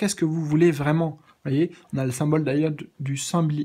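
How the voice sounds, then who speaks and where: Over a quiet background, the speech moves at a moderate pace. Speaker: tarot reader. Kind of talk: tarot reading monologue. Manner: hesitant, many fillers. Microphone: phone near.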